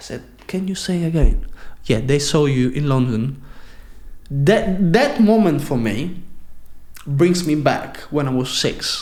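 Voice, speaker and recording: A man with an Italian accent talks at a fairly slow pace, with long, frequent pauses. His voice is somewhat breathy and fairly high in pitch, with lively intonation. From Sicily, Italy. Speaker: professional dancer. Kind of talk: podcast interview answer.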